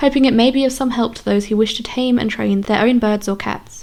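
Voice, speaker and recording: A soft-spoken woman's very fast, high-pitched speech over noticeable background noise. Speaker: audiobook narrator. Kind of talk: audiobook reading.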